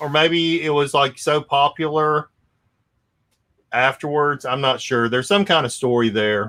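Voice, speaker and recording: Recorded very cleanly against a silent background, a man with a Louisiana accent speaks in a bright, sharp, fairly high voice with long, frequent pauses. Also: ordinary pitch variation, fairly slow pace. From North Louisiana / southern Arkansas. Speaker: comic collector and channel host. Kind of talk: casual chat on a live stream.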